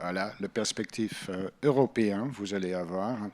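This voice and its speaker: A man speaks with a Dutch accent. His pace is very slow. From Netherlands. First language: Dutch (speaking French). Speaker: EU Commission policy officer. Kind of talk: panel talk. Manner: halting, non-native phrasing.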